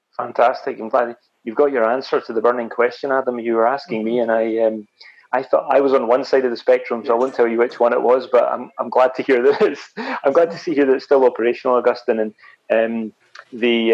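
He has an unremarkable speaking voice. The man talks at a fairly quick pace. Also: medium pitch for a man, fairly even intonation. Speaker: podcast host. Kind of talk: casual interview.

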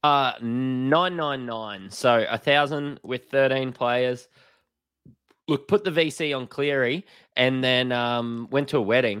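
A man with an Australian accent talks at a very slow pace and medium pitch in a very clean recording with a silent background. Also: ordinary pitch variation. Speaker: fantasy sports podcast co-host. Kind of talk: casual chat.

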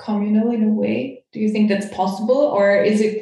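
In a German accent, a woman speaks at a fairly slow pace with a fairly high pitch and monotone, flat intonation. Audible room echo surrounds her voice. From Austria. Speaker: podcast host, coach. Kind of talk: interview; guided imagination.

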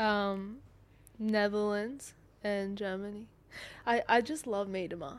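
Speaking very slowly with an Australian accent, a woman leaves long, frequent pauses. Her pitch is medium, with ordinary variation. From Sydney, Australia. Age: 20s. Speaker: professional footballer. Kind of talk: casual chat.

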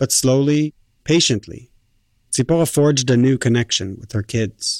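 A man talks at a moderate pace in a plain, everyday voice, medium in pitch with ordinary pitch variation. The sound is dry and close with no echo, on a very clean recording with a silent background. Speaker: radio reporter and narrator. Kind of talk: narrated documentary and interview.

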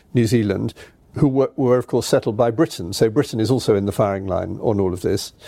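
Speaking at a fairly quick pace, a man with a dark, mellow tone and medium pitch shows ordinary pitch variation on a very clean recording with a silent background. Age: 60s. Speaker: journalist and former newspaper editor. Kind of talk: interview.

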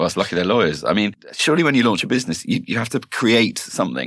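Very fast male speech, full of vocal fry and very wide pitch swings. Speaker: podcast co-host. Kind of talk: casual chat.

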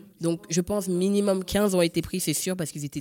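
A woman at a moderate pace, in dry, close sound with no echo. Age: 30s. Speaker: egg donor. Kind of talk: testimony. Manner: hesitant, many fillers.

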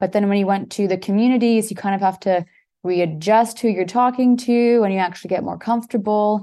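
In a Canadian accent, a woman with a dark, mellow tone speaks with fairly even intonation against a quiet background. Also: medium pitch for a woman. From Toronto, Canada. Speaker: entrepreneur, virtual tour photographer. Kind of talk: casual chat.

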